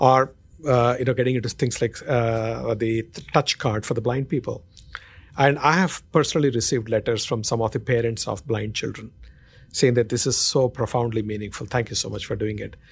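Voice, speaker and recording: Intonation stays fairly even as the man speaks with a somewhat breathy quality. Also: medium pitch for a man, fairly quick pace. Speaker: marketing executive. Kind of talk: interview.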